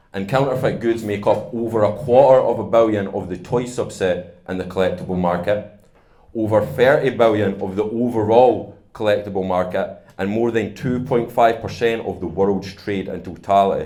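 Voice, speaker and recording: With a Scottish accent, a man speaks at a moderate pace with hardly any pauses, a fairly low pitch, ordinary pitch variation and a dark, mellow tone, in a recording with audible room echo. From Scotland. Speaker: startup founder. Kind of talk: conference talk.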